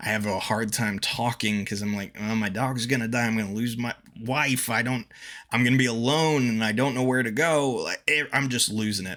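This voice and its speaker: A man's medium-pitched voice, bright and sharp in tone, at a fairly quick pace with fairly even intonation. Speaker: streamer. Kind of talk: casual chat. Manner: halting, repetitive.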